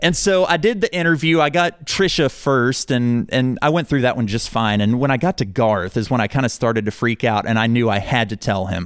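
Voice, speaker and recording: An ordinary speaking voice at a fairly quick pace, with very even loudness, hardly any pauses and lively intonation. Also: man, medium pitch for a man. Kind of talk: heartfelt on-air-style chat, warm thank-you sign-off to the host. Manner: earnest, warm and sincere, gushing with gratitude.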